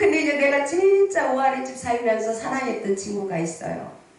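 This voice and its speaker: In a room with audible echo and noticeable background noise, a woman talks at a moderate pace in an animated tone, her pitch swinging very widely. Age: 60s. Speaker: pastor. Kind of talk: sermon. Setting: prayer retreat revival meeting with congregation.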